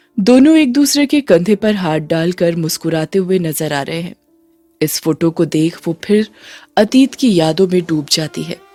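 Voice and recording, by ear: Lively intonation from a woman with a fairly low pitch and a slightly mellow tone, faint music in the background. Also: moderate pace.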